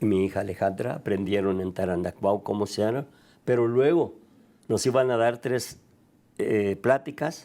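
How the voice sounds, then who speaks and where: Fairly low-pitched male voice, dark and mellow in tone, at a fairly slow pace. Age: 80s+. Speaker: tequila maker, business founder. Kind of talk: interview.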